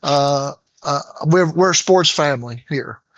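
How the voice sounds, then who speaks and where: The speaker has an American accent and a fairly slow pace. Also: man. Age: 60s. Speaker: engineer and retired sports coach. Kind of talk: casual chat. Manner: halting, many fillers.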